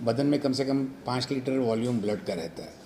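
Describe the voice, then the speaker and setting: A man's medium-pitched voice with a dark, mellow tone and ordinary pitch variation. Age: 60s. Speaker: doctor and club member. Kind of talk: interview.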